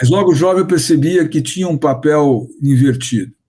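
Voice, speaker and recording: This man's voice is fairly high in pitch, with a dark, mellow tone. It sounds somewhat breathy and shows ordinary pitch variation. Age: 60s. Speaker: business consultant. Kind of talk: interview. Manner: halting.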